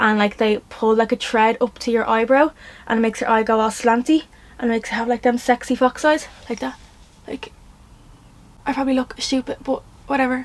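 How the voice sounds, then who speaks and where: With a Dublin accent, a woman talks fairly quickly in an animated tone at a high pitch, breaking off for long, frequent pauses. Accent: Dublin Irish. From Ireland, Dublin. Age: 20s. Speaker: influencer / vlogger. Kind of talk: casual vlog Q&A. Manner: fast; animated, rambling.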